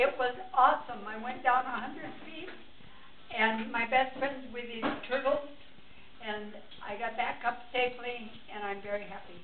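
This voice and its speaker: A woman with a high voice talks at a moderate pace with ordinary pitch variation, with noticeable background noise behind her. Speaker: great grandmother, first-time diver. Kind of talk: casual talk to camera. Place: home room. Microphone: camera far.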